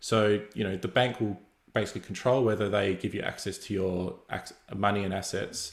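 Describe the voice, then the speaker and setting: A somewhat breathy male voice with fairly even intonation, in a very clean recording with a silent background. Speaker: developer advocate giving a guest lecture. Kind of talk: lecture. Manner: fast; many fillers and repetitions.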